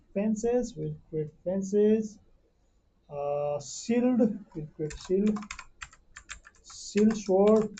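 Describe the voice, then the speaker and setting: Very slow and with long, frequent pauses, a woman speaks. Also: medium pitch for a woman, ordinary pitch variation. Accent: non-native. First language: not English. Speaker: 3D modeling tutor. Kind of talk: tutorial. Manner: halting, many fillers.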